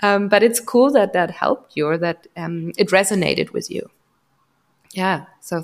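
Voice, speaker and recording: A woman speaks at a moderate pace in a medium pitch, with ordinary pitch variation. Her speech has long, frequent pauses. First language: German. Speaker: podcast host, psychologist. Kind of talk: casual interview. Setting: home, remote call.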